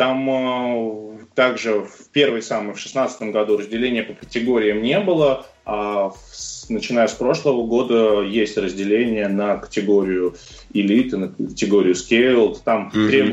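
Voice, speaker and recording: A plain, everyday voice from a man, medium in pitch, fairly slow, with fairly even intonation. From Russia, Moscow. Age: 30s. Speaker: CrossFit coach and athlete. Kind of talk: interview.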